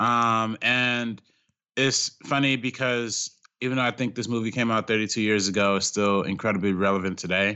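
A man speaks at a moderate pace with a medium pitch and ordinary pitch variation. It is an ordinary speaking voice. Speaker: film critic, director and YouTube creator. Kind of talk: casual film discussion.

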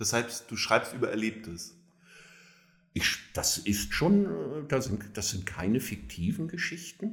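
A man's pitch swings very widely as he talks very slowly. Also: medium pitch for a man. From northern Germany, near Kiel. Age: 60s. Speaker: social worker and homelessness advocate. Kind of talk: interview. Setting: in-person recording, same room.

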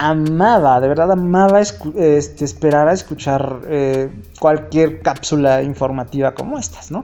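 A man's fairly high voice at a very slow pace, against noticeable background noise. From Mexico, Hidalgo. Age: 30s. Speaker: podcaster. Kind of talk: casual monologue. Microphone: phone recording.

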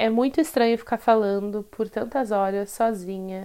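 A woman speaks in a normal speaking voice at a moderate pace with fairly even intonation, on a very clean recording with a silent background. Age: 20s. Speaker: podcast host, tarot reader and photographer. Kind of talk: solo casual monologue. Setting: solo recording.

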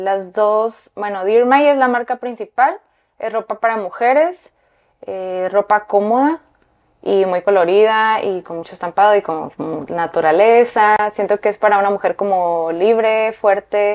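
A woman's plain, everyday voice at medium pitch, fairly slow, with ordinary pitch variation. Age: 30s. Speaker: fashion designer. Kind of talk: interview.

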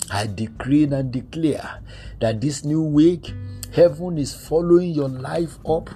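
Against noticeable background noise, a man talks at a very slow pace with ordinary pitch variation. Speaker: prayer minister. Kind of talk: fervent prayer. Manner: fervent, declaring and commanding, with repeated phrases.

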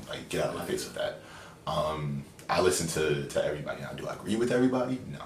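A man with an American accent talks at a very fast pace. Audible room echo and noticeable background noise surround him. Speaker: podcast guest, friend of host. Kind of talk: casual chat.

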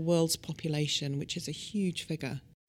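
The speaker is a woman. She talks with a British accent. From UK. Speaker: cosmetic scientist. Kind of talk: expert interview explanation.

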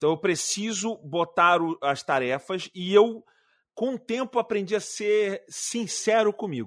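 Recorded dry and close with no echo, a man speaks in a high pitch. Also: quiet background. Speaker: YouTuber and video producer. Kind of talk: casual chat.

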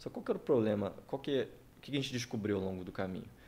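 A man speaks with a dark, mellow tone. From Campos dos Goytacazes, Rio de Janeiro state, Brazil. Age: 30s. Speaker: tech entrepreneur. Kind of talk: casual interview chat.

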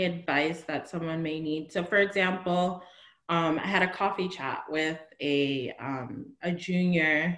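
A woman speaks at a fairly slow pace in a plain, everyday voice. Her pitch is fairly low, with ordinary variation. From New Jersey. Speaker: consultant in tech. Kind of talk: interview.

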